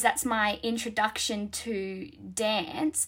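Speaking very slowly with an Australian accent, a woman has a fairly high pitch, ordinary pitch variation and a bright, sharp tone. The recording is very clean, with a silent background. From Australia, New South Wales. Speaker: dancer. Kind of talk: casual chat.

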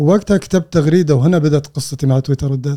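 A man talks at a fairly quick pace in a dark, mellow tone, with ordinary pitch variation. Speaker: data analyst and tech founder. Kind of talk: interview conversation.

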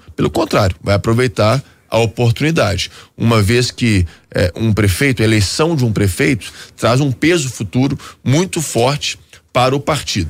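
A somewhat breathy man at medium pitch, with lively intonation, a moderate pace and very even loudness. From Belo Horizonte, Minas Gerais, Brazil. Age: 30s. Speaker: politician, former federal deputy. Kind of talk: radio interview. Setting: radio studio.

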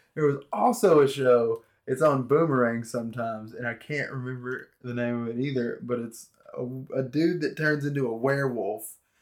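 This man talks at a moderate pace in a plain, everyday voice. His pitch sits at a medium level. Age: 30s. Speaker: podcast guest. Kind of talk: casual chat.

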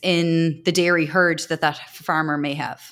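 A woman with an Irish accent is heard in a very clean recording with a silent background. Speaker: agricultural news interviewer. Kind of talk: interview.

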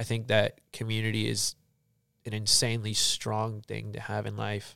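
Moderate-paced speech from a man, on a very clean recording with a silent background. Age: young. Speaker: church member. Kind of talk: casual chat.

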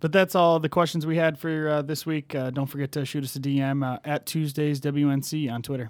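A man with an unremarkable speaking voice talks at a fairly quick pace and fairly high pitch, his intonation fairly even, on a very clean recording with a silent background. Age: 20s. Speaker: podcast co-host. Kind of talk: casual chat.

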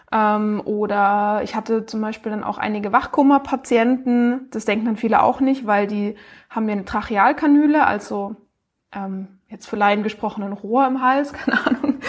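A woman with a plain, everyday voice talks at a moderate pace in a fairly high pitch that varies in an ordinary way. The recording is very clean, with a silent background. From Baden-Württemberg, Baden-Baden. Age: 20s. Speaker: speech therapist and startup founder. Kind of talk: interview.

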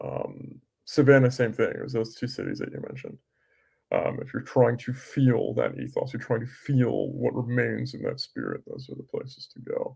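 At a moderate pace, a man with an American accent talks with big swings in loudness. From US West Coast. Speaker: podcast host. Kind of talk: interview conversation.

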